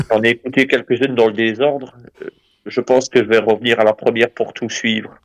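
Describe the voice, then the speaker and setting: With a slight Belgian accent, a man talks at a fairly quick pace in a monotone, flat intonation. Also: medium pitch for a man. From Belgium. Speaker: caller. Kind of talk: casual discussion. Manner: hesitant.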